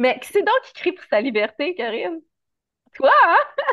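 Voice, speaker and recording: Speaking in a Quebec accent, a woman talks at a moderate pace. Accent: Québécois French. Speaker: animal communicator. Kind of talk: casual chat.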